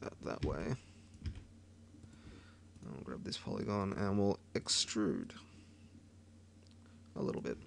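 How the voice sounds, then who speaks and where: This man speaks with an Australian accent at a fairly slow pace. He leaves long, frequent pauses. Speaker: 3D modelling tutorial maker. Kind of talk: screen-recorded software tutorial. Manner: casual, rambling.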